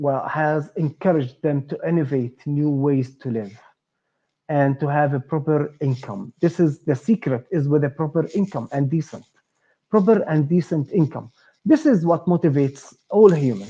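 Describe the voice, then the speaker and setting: With an Arabic accent, a man speaks in a somewhat breathy voice at a fairly high pitch, ordinary pitch variation and a moderate pace against a quiet background. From Palestine. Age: 40s. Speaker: startup co-founder and entrepreneur. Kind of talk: interview. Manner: halting, many fillers.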